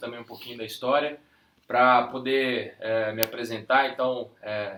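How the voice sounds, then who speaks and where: Flat and monotone, a man speaks at a medium pitch with a bright, sharp tone. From Brazil, Minas Gerais (Ipatinga, Vale do Aço). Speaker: real estate sales director. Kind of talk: interview.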